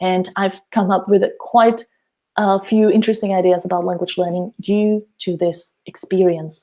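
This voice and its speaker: The voice has a dark, mellow tone and a Slovak accent. It moves at a moderate pace with fairly even intonation. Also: woman. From Slovakia. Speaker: language teacher and mentor. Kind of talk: webinar presentation. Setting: online webinar.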